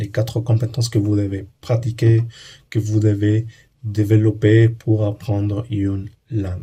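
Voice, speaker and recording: With a Spanish accent, a man speaks at a fairly slow pace in a fairly low, somewhat breathy voice with a dark, mellow tone. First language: Spanish (speaking French). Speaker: language learning YouTuber. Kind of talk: educational monologue. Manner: halting, with hesitations and repeats.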